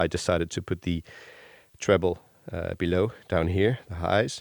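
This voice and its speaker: With a very deep, low pitch and fairly even intonation, a man talks at a moderate pace on a very clean recording against a silent background. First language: not English. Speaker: bass gear reviewer. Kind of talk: casual improvised demo. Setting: home workshop. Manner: halting, many fillers.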